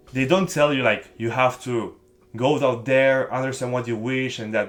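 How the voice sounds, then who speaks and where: This man has a non-native accent. His intonation stays fairly even. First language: not English. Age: young. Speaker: book-review vlogger. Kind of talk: casual vlog talk to camera. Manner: halting with self-corrections.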